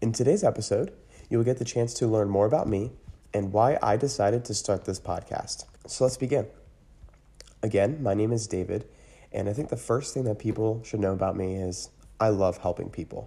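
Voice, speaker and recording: A man with an American accent, fairly low-pitched and somewhat breathy, dark and mellow in tone, at a fairly quick pace broken by long, frequent pauses. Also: ordinary pitch variation. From US, Pennsylvania (Lancaster County area). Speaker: podcast host. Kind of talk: monologue.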